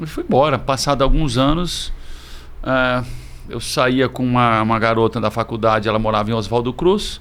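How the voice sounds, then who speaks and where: At a moderate pace, a man talks in an unremarkable speaking voice, with medium pitch and ordinary pitch variation. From Presidente Prudente, São Paulo state, Brazil. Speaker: restaurant and bar business owner. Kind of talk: casual interview.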